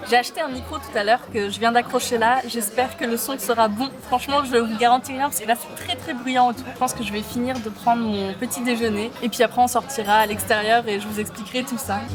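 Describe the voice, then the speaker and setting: Over music in the background, a woman talks at a fairly quick pace with hardly any pauses, a fairly high pitch, fairly even intonation, and big swings in loudness. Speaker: vlogger. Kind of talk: vlog. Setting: café, then walking outdoors. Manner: soft-spoken.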